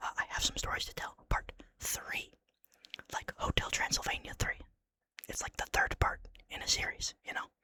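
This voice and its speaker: Someone whispers at a moderate pace. Long pauses come often. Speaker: ASMR channel host reading a horror story. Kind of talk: casual talk to camera, intro to the reading. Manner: whispered, casual, jokey between story parts.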